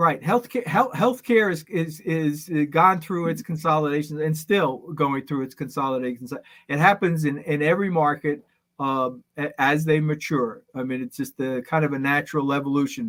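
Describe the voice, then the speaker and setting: On a very clean recording with a silent background, a man speaks at a fairly high pitch. He has an unremarkable speaking voice, a moderate pace and ordinary pitch variation. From New York. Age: 60s. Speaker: business consultant. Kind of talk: podcast interview.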